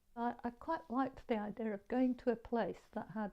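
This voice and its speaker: A woman with a Yorkshire accent, dark, mellow tone and moderate pace. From northern England, Leeds (Armley). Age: 70s. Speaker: artist. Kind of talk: interview. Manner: halting.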